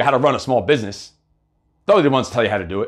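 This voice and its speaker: The background stays quiet. This man's voice carries vocal fry. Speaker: motivational coach and live show host; performance coach. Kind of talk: motivational livestream monologue. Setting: live video broadcast on social media. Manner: fast; animated. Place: home room.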